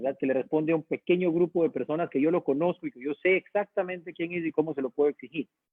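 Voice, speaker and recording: Talking at a very fast pace, a man with a slight Guayaquil accent uses a fairly high pitch and ordinary pitch variation. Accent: Guayaquil (coastal Ecuadorian) accent, slight. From Ecuador, Guayaquil. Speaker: university dean. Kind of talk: online talk / lecture with Q&A.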